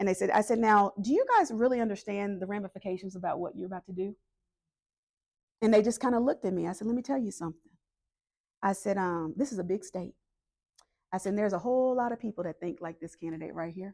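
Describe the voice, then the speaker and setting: Speaking very fast with long, frequent pauses, a woman has a dark, mellow tone at medium pitch in a Southern US accent. The recording is very clean, with a silent background. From US South, North Carolina. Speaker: political organizer. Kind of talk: community meeting talk.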